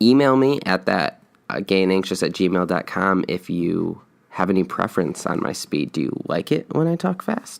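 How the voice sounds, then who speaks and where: A man with a very deep, low pitch talks at a moderate pace with lively intonation. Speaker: podcast host. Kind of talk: solo podcast monologue. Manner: many filler words.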